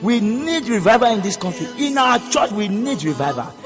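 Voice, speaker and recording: Lively intonation over music in the background. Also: man. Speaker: preacher. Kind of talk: sermon.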